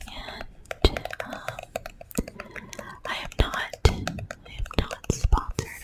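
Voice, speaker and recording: A woman's whispering over noticeable background noise. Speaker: ASMR creator. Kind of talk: ASMR whisper talk to camera. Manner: whispered.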